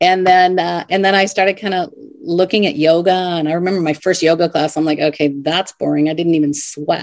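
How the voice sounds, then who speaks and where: A woman with a normal speaking voice talks fairly quickly with hardly any pauses. Her pitch is fairly low and her intonation fairly even. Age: 50s. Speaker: life coach and author. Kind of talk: interview.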